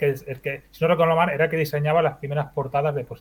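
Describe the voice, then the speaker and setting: Speaking very fast, a man uses a fairly high, somewhat breathy voice. His intonation is flat and monotone. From Spain, Badalona (Catalonia). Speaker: video game developer. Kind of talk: interview.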